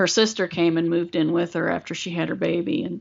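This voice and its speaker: This speaker has an American accent and a monotone, flat intonation. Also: woman. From West Virginia. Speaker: podcaster. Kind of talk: casual chat. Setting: live stream.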